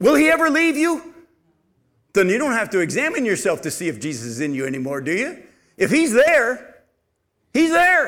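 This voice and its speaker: A man speaks at a moderate pace with an extremely high pitch, very wide pitch swings and a bright, sharp tone. He leaves long, frequent pauses, and audible room echo surrounds him. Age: 50s. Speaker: pastor. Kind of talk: sermon.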